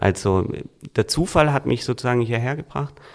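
A man's normal speaking voice at a medium pitch, with ordinary pitch variation and a moderate pace. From Swabia, Germany (Reutlingen). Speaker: book publisher and author. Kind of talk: casual interview.

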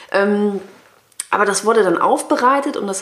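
Noticeable background noise sits behind a woman talking at a moderate pace. Her pitch is medium and her intonation lively. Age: 30s. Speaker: podcast co-host, corporate employee. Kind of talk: casual chat.

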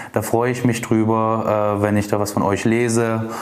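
Fairly low-pitched male speech at a fairly slow pace, with audible room echo and noticeable background noise. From Dresden, Saxony, eastern Germany. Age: 30s. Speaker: insurance broker. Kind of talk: podcast self-introduction monologue. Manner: hesitant with many filler sounds.

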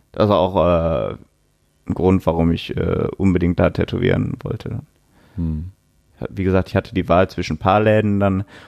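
A man speaks at a moderate pace in a very deep, low pitch. The sound is dry and close, with no echo. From Duisburg, Ruhr area, Germany. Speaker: tattoo artist. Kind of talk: interview. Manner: casual.

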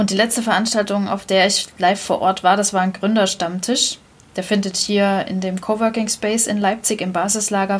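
A woman's medium-pitched voice, monotone and flat in intonation, is heard against noticeable background noise. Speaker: podcast host. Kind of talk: casual chat.

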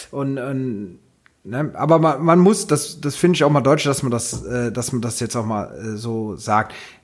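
With an unremarkable speaking voice at medium pitch, a man talks fairly slowly with lively intonation. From Rhineland, Hennef. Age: 40s. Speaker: carnival club vice-chairman. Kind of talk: casual chat.

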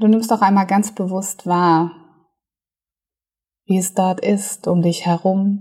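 Dark, mellow and soothing, the calm tone is somewhat breathy and flat in monotone. The pace is very slow, with long, frequent pauses. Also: woman, medium pitch for a woman. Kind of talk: guided meditation. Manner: soothing, slow, calm, gentle pacing with pauses; warm, hypnotic, dreamy.

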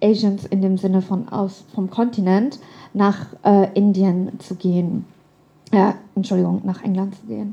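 With an ordinary speaking voice, a woman talks fairly slowly at a medium pitch. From Germany. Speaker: writer. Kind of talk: storytelling performance.

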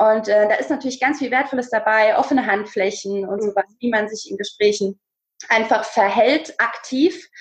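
Moderate pacing in a normal speaking voice, with ordinary pitch variation. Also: woman, fairly high pitch for a woman. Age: 20s. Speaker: speaker and presence coach, former dance teacher. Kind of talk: casual interview.

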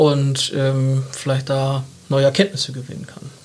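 A man keeps a moderate pace while clear background noise continues behind him. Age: 30s. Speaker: marketing agency partner. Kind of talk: casual interview. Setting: studio.

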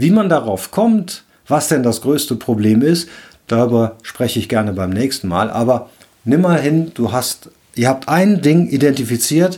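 The pace is fairly slow. Its tone is dark and mellow. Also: man. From Rhineland, Cologne. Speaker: leadership coach and podcast host. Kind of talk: solo podcast monologue, advice talk.

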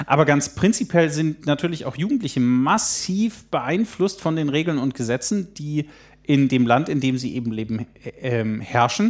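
A man talks in a plain, everyday voice at a fairly high pitch. His pace is moderate and his intonation lively. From Germany (Baden-Württemberg/Lower Saxony). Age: 30s. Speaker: youth political educator. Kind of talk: casual interview. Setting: at guest's place.

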